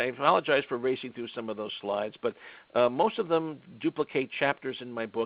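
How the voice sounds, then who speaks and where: The speaker talks at a fairly quick pace. Pitch rises and falls in an ordinary way. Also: man. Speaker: lawyer and author presenting a webinar. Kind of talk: webinar presentation. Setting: online webinar. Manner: fast.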